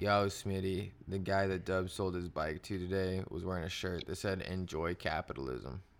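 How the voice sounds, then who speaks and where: The intonation stays fairly even, with hardly any pauses. It's a very clean recording with a silent background. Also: man, very deep, low pitch for a man, moderate pace. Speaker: podcast co-host. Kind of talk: casual chat.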